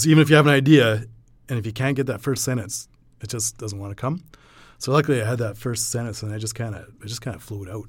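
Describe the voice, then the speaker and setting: Very fast and somewhat breathy, the speech comes with a western Canadian accent and ordinary pitch variation on a very clean recording with a silent background. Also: man, medium pitch for a man, big swings in loudness. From western Alberta, Canada (small mountain town). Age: 40s. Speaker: coal miner and writer. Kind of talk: casual interview chat; reading aloud own prose. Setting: in-person studio interview.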